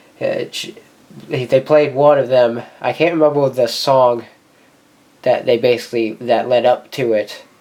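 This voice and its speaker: The speech moves at a fairly slow pace amid noticeable background noise. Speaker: music collector YouTuber. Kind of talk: unboxing video. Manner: halting, stumbling over words.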